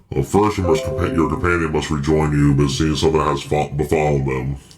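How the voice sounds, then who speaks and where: Using a put-on character voice, a man talks at a fairly quick pace with a very deep, low pitch. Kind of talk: solemn divine proclamation. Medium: actual play. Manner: lofty, terse, authoritative.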